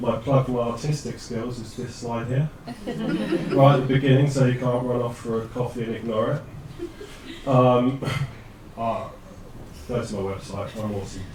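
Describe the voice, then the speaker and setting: A man with a British accent at a medium pitch and moderate pace, fairly even in intonation, with long, frequent pauses, audible room echo and noticeable background noise. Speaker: data scientist. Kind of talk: presentation. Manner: loud.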